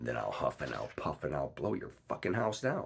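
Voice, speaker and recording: A man growls loudly in a menacing put-on character voice at a moderate pace. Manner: growling, loud, menacing.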